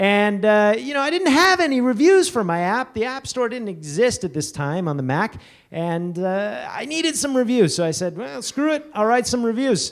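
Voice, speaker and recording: A man speaks loudly at a moderate pace in an excited tone, his high voice swinging very widely in pitch with hardly any pauses. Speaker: conference speaker. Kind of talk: conference talk. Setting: stage with audience. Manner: loud, awkwardly excited.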